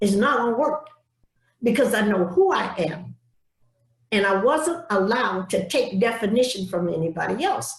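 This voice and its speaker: Speaking in an American accent at a moderate pace, a woman with a fairly high pitch swings very widely in pitch, sounds somewhat breathy, and takes long, frequent pauses. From US South. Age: 80s+. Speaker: civil rights activist. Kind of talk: speech. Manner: emphatic.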